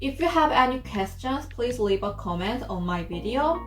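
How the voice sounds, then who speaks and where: A fairly slow voice in a Korean accent, with music in the background and audible room echo. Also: woman. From South Korea. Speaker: student vlogger. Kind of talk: vlog tour with Q&A. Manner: halting, many fillers.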